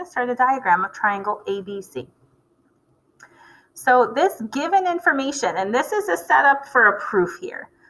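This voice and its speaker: Her voice raised and projected, a woman speaks at a moderate pace in a bright, sharp tone, high in pitch with very wide pitch swings. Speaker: math teacher. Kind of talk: video lecture.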